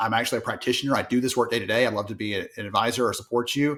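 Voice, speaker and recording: Speaking at a very fast pace with fairly even intonation, a man at a medium pitch has a strong Southern US accent on a very clean recording with a silent background. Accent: thick Southern US. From US South, small town. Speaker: HR industry analyst and author. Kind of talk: podcast interview.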